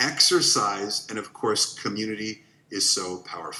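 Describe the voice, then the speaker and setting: A man's voice over noticeable background noise. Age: 50s. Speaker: wellness educator. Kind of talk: workshop presentation.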